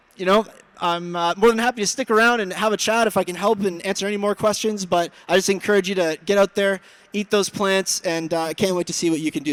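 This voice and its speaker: A man's high-pitched, very fast speech with fairly even intonation, dry and close with no echo. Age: 30s. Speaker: vegan athlete and public speaker. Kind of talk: presentation to a live audience. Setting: expo stage with audience.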